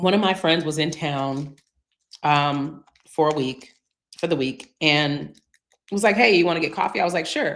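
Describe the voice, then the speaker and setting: Speaking at a moderate pace with long, frequent pauses, a woman uses a very deep, low pitch with ordinary variation. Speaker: remote work coach. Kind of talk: live Q&A stream. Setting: live stream. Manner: casual, conversational with fillers.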